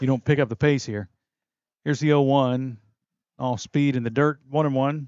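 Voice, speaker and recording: Speaking in a West Virginia accent, a man with a medium pitch keeps a moderate pace and fairly even intonation, broken by long, frequent pauses. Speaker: play-by-play sports broadcaster. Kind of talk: live commentary.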